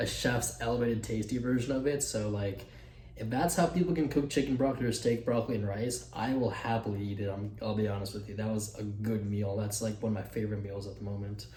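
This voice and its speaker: A man's fairly low voice at a very fast pace, with ordinary pitch variation and audible room echo. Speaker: fitness vlogger. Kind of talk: casual vlog. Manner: casual, filler-heavy.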